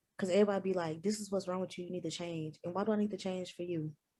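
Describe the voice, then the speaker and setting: This woman's voice has a dark, mellow tone and fairly even intonation. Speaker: talk show co-host. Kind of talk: casual chat. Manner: loud.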